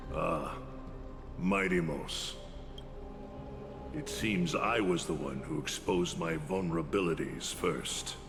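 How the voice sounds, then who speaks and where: A man uses a put-on character voice, very deep and low in pitch, at a fairly slow pace. Loud music plays in the background. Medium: video game. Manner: forceful, accusatory.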